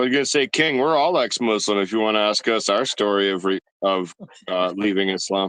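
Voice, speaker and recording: A man speaks at a fairly quick pace with a fairly low pitch, ordinary pitch variation and very even loudness, recorded with a dry, close sound and no echo. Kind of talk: casual chat. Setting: online audio room.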